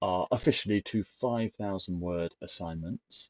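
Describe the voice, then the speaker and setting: Heard in a dry, close sound with no echo, a man talks at a moderate pace in a dark, mellow tone with ordinary pitch variation. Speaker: teacher educator. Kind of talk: lecture. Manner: hesitant, many fillers.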